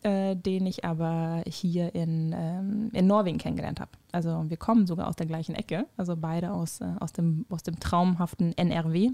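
Recorded with a dry, close sound with no echo, a woman speaks at a moderate pace in a fairly low, dark, mellow voice with fairly even intonation. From Germany, Krefeld (Lower Rhine). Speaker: podcast co-host. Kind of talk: casual chat.

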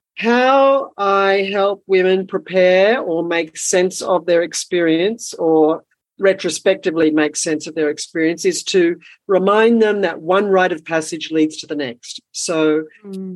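Delivered in a plain, everyday voice, the speech goes along fairly slowly and rises and falls in pitch in an ordinary way. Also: woman, medium pitch for a woman. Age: 60s. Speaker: women's rites of passage teacher and former midwife. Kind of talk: casual chat.

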